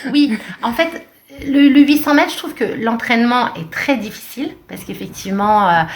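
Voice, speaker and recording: Amid noticeable background noise and audible room echo, a woman speaks at a moderate pace with very wide pitch swings and big swings in loudness. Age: 40s. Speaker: runner and sports coach. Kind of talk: podcast interview. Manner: hesitant, many fillers.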